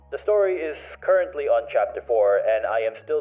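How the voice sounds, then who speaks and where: Moderately paced speech from a man, backed by music. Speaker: digital artist. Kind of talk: casual voiceover commentary.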